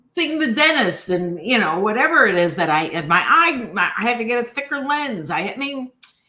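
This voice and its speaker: A woman speaks in a raised, projected voice with very wide pitch swings. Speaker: guest on coaching podcast. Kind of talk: casual interview chat.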